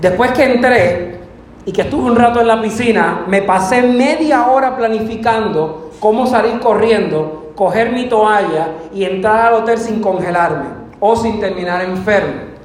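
Amid noticeable background noise and audible room echo, a man with a high pitch talks at a fairly quick pace with ordinary pitch variation. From Puerto Rico. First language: Spanish. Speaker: preacher. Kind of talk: sermon. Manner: bilingual, self-translating.

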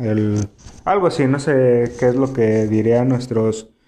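A man's voice of medium pitch carries a dark, mellow tone. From Mexico, Tijuana (Baja California border). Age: 20s. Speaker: podcast host. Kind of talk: casual solo chat, anime discussion. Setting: live stream on YouTube.

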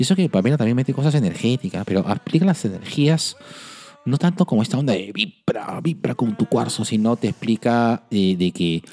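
Over music in the background, a man at a medium pitch talks at a fairly quick pace with very wide pitch swings, the sound dry and close with no echo. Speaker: podcast host, psychologist. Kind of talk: casual chat.

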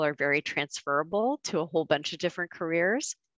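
A woman with a plain, everyday voice and fairly low pitch talks at a fairly quick pace in a dry, close sound with no echo. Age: 40s. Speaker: corporate lawyer. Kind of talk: interview.

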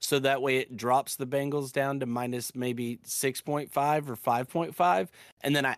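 A man's unremarkable speaking voice at a medium pitch and moderate pace, with hardly any pauses, in a very clean recording with a silent background and a dry, close sound with no echo. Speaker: sports podcast host. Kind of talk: casual banter, football review. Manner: casual, upbeat.

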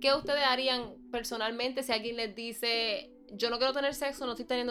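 Her tone bright and sharp, a woman with a Puerto Rican accent speaks at a high pitch and a fairly quick pace. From Puerto Rico, Bayamón. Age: 20s. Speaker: podcast guest. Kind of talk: casual chat.

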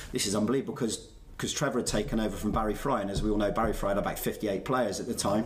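A man with a West Country accent speaks with fairly even intonation over noticeable background noise. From Somerset, England (Bristol area). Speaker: former footballer and football manager. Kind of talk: casual interview.

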